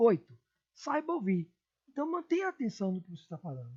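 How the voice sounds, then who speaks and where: Her somewhat breathy voice swings very widely in pitch as the woman speaks. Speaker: teacher. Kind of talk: lecture. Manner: expressive, moderate pace.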